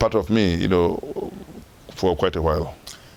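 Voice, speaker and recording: Through noticeable background noise, a man with a very deep, low voice speaks with ordinary pitch variation. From northern Ghana. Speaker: former football association chairman. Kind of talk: interview.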